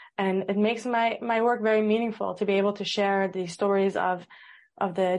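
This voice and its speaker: Against a quiet background, a woman at medium pitch speaks at a moderate pace with monotone, flat intonation. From Amsterdam, Netherlands. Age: 30s. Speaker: social media content creator. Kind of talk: casual interview.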